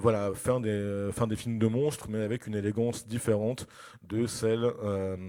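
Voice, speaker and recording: The tone is dark and mellow, delivered at a moderate pace in a monotone, flat intonation. The recording is very clean with a silent background. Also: man, fairly low pitch for a man. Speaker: film critic and lecturer. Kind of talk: lecture. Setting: festival conference with audience. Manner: hesitant, many fillers.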